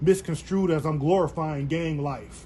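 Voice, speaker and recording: Music plays in the background as someone with an American accent speaks at a moderate pace with fairly even intonation. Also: man. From San Jose, California. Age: 40s. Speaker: interviewer. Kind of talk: interview. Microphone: phone recording.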